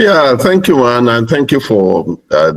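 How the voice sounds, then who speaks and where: A man with a Nigerian accent speaks at a moderate pace with lively intonation. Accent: Nigerian (Yoruba) English. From Nigeria (Yoruba). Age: 60s. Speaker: pastor and educator. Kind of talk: panel discussion.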